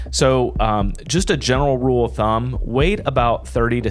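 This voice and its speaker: A man's voice over faint music in the background. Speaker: tech security show host. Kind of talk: news commentary. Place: studio. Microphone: studio mic.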